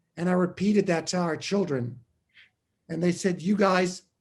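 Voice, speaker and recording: With a high pitch, a man speaks at a moderate pace. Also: long, frequent pauses. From US Northeast, New York City (Washington Heights). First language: German. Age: 60s. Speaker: artist. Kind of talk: casual chat.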